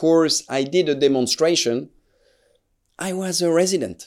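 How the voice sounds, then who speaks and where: A man speaks at a fairly high pitch with a French accent and ordinary pitch variation. The recording is very clean, with a silent background. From France, Alsace. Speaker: neurosurgeon. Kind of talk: interview. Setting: studio. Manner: hesitant, many filler sounds.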